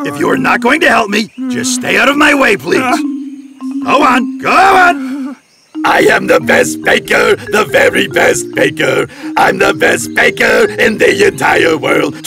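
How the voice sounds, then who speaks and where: A man's cartoonish character voice at a fairly slow pace, faint music in the background. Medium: puppet show. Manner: boastful, bossy.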